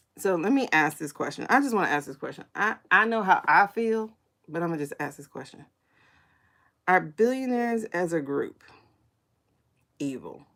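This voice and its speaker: Animated and at a moderate pace, a woman speaks at medium pitch with very wide pitch swings, big swings in loudness and long, frequent pauses. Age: 40s. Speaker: psychic tarot reader livestreamer. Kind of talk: livestream pendulum reading and political chat. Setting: live stream on YouTube and TikTok. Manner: casual, animated.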